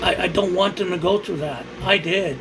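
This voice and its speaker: A man with an American accent speaks at a moderate pace in a high pitch. Audible room echo and noticeable background noise fill the recording. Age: 60s. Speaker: livestreamer. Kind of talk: casual livestream chat. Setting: livestream. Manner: halting.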